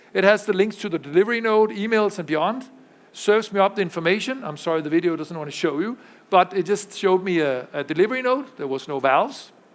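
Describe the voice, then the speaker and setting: A man talks at a very fast pace with a high pitch. His intonation is lively. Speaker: tech executive giving keynote. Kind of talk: conference keynote with live demo. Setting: pre-recorded video played at conference.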